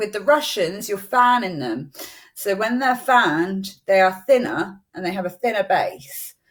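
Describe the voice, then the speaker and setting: A woman with a normal speaking voice at medium pitch, fairly slow, with big swings in loudness. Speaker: eyelash extension trainer. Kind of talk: live-streamed tutorial. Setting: Facebook live stream.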